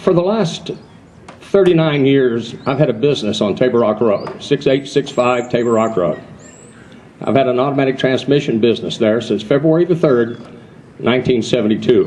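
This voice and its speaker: Lively intonation from a man at a medium pitch and moderate pace, with noticeable background noise. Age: 70s. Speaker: transmission shop owner. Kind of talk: rally speech.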